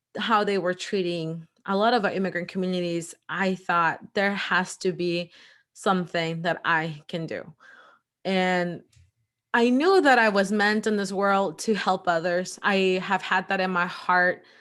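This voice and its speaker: The speech moves at a fairly slow pace with fairly even intonation in a normal speaking voice. The recording is very clean, with a silent background. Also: woman, medium pitch for a woman. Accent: American. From El Salvador, then US Midwest (Indiana). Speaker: lawyer and entrepreneur. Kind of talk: interview.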